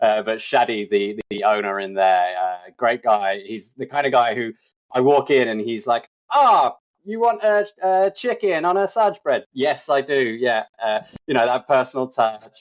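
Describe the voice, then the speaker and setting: A man's fairly slow speech in an English accent, with very wide pitch swings, against a quiet background. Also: medium pitch for a man. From England. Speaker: insurance agent. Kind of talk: podcast interview. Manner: hesitant, many fillers.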